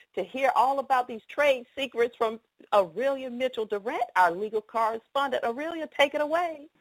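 A woman's high-pitched voice in a Southern US accent, dry and close with no echo, on a very clean recording with a silent background. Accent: southern drawl. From Atlanta, US South. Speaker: radio show host. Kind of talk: live radio interview. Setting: studio.

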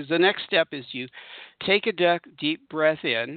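The man has a normal speaking voice. His pitch is fairly high, with ordinary pitch variation. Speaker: spiritual radio host and meditation teacher. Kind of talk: guided meditation. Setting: radio show. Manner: warm, intimate.

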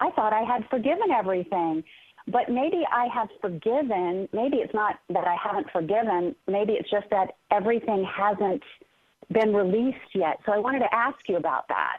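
A woman with a fairly high pitch uses lively intonation. Her pace is moderate and her loudness very even. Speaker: caller. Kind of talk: reflective personal sharing on a call. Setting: phone call. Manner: hesitant, thoughtful, with fillers.

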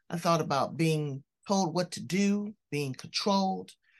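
A woman with a normal speaking voice talks at a fairly low pitch and a moderate pace, with ordinary pitch variation over a quiet background. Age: 60s. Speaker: podcast host. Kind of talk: interview; show intro.

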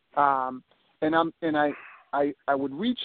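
A man speaks with a fairly high pitch. His pace is fairly slow. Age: 50s. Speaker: police officer and reality TV competitor. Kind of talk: casual interview.

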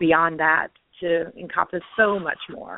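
Speaking at a fairly slow pace, a woman with an American accent uses a fairly low pitch. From US South. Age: 50s. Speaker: wellness coach and author. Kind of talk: interview.

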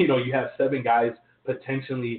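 This is a man with a normal speaking voice at medium pitch. He talks at a fairly quick pace. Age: 20s. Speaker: sports podcast host. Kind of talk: casual sports talk.

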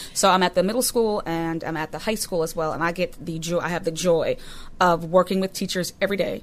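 A woman talks at a fairly quick pace with fairly even intonation. The recording is very clean, and the background is silent. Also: fairly low pitch for a woman. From Massachusetts, Boston area. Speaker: teacher and author. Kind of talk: interview guest, personal testimony. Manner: hesitant, many fillers.

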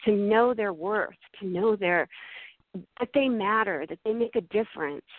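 Speaking at a moderate pace with lively intonation, a woman with an American accent has a fairly high pitch. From Massachusetts. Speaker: mindfulness coach and meditation instructor. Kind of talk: radio interview. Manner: animated.

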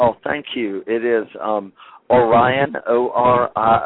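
A man talks in a fairly low pitch for a man, with fairly even intonation.

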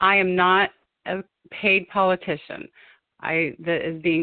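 A woman speaks at a fairly low pitch with an American accent. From Ohio (Springfield). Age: 50s. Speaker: gubernatorial candidate. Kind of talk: phone interview. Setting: phone call. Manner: animated.

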